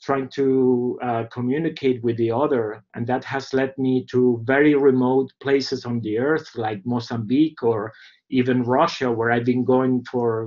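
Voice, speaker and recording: This voice speaks with a Spanish accent at a fairly slow pace. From Venezuela. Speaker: documentary filmmaker. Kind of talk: seminar talk. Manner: halting, many fillers.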